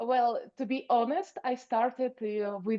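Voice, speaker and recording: Very slowly, a woman talks with pitch that varies in an ordinary way. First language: not English. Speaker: programming student. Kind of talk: project presentation. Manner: halting.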